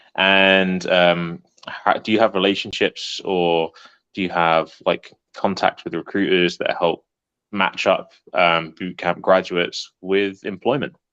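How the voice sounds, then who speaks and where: A man's very deep, low voice with an English accent, bright, sharp tone and monotone, flat intonation, dry and close with no echo over a quiet background. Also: fairly slow pace. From England. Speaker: prospective student. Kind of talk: Q&A question. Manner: halting.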